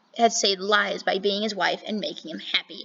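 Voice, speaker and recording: Amid noticeable background noise, a woman speaks fairly quickly in a fairly high pitch. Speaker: true crime channel host. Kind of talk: reading aloud. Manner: fast; animated.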